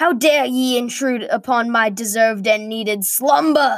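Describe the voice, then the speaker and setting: In a gruff, put-on character voice, a woman talks at a moderate pace and a fairly high pitch. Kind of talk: archaic. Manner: angry, indignant.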